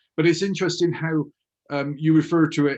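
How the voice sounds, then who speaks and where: The speaker talks at a fairly quick pace in a Bristolian accent. The background is quiet. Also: man. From Bristol, England. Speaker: hypnotherapist and author. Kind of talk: interview conversation.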